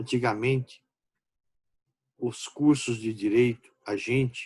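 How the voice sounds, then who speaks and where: A man with a medium pitch speaks at a very slow pace with ordinary pitch variation. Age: 60s. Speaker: law professor. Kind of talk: lecture. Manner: informal, conversational.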